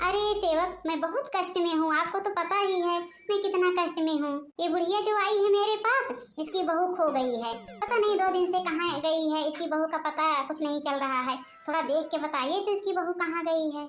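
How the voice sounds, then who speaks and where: A woman does a squeaky, put-on character voice at an extremely high pitch and a fairly quick pace. Her loudness stays very even, with music in the background. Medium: cartoon. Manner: secretive.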